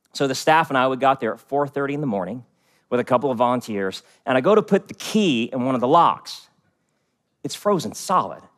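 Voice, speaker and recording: With an American accent, a man in an unremarkable speaking voice talks at a fairly quick pace and medium pitch with lively intonation, recorded very cleanly against a silent background. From US, West Virginia. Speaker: pastor. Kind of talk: sermon.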